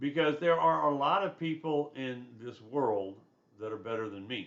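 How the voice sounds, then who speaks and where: In a Southern US accent, a man at a medium pitch talks at a moderate pace with very wide pitch swings and big swings in loudness, and the room echo is audible. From US South. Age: 60s. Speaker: college instructor. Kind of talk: lecture. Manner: conversational.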